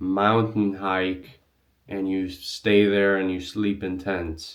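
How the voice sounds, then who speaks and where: Very slowly and at a fairly low pitch, a man speaks with a non-native accent. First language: not English. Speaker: travel vlogger. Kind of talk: tutorial. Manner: casual, filler-heavy.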